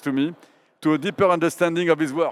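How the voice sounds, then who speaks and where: A man with a French accent and a fairly high pitch is heard on a very clean recording with a silent background. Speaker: art curator, moderator. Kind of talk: public onstage interview. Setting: stage with audience at art fair.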